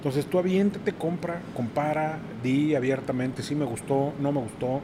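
Noticeable background noise sits behind a man with a fairly high pitch. He speaks at a moderate pace with ordinary pitch variation. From Mexico City. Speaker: sommelier and wine and craft beer producer. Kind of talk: casual chat.

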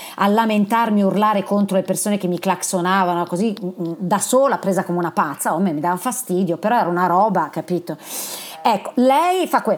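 This is a woman with an ordinary speaking voice. She goes at a fairly quick pace, her medium pitch showing ordinary variation. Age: 50s. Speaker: podcast host. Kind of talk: interview.

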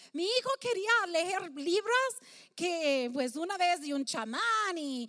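A woman projects a raised voice with a bright, sharp tone and lively intonation at a very slow pace. The sound is dry and close, with no echo. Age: 50s. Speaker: pastor. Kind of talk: sermon. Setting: stage with audience. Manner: halting.

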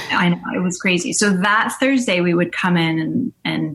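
A woman at a medium pitch sounds somewhat breathy. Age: 40s. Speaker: TV and film writer-producer. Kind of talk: interview. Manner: animated.

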